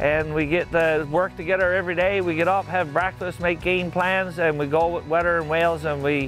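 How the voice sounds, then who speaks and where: Over faint background music, a man talks at a fairly quick pace with fairly even intonation, the sound dry with no echo. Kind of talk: interview answer. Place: waterside.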